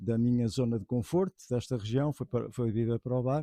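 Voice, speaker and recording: A man talks at a medium pitch in a dark, mellow tone, with ordinary pitch variation and a moderate pace. The sound is dry and close, without echo. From Portugal, Aveiro district. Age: 60s. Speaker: pigeon racing expert. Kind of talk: interview monologue. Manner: halting, many fillers.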